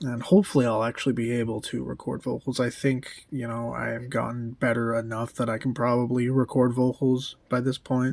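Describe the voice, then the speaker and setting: A man talks quietly at a fairly quick pace with hardly any pauses. His intonation stays flat and monotone. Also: medium pitch for a man. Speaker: musician and vlogger. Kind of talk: casual vlog update. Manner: speaking quietly; hesitant, many fillers.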